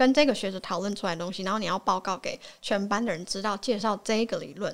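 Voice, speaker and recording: A woman uses a normal speaking voice at medium pitch with ordinary pitch variation. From Taiwan. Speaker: podcast guest. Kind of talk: casual chat.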